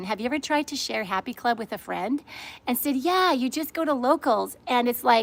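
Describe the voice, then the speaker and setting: A woman's high, animated voice with lively intonation. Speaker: livestream host. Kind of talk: live-streamed casual chat. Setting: outdoors, sitting in her pool. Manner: fast.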